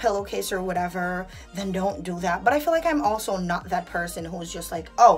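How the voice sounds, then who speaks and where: A woman speaks in an animated tone with ordinary pitch variation. Faint music sits in the background. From Jamaica. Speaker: vlogger. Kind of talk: casual vlog talk to camera. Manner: chatty, animated. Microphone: phone near.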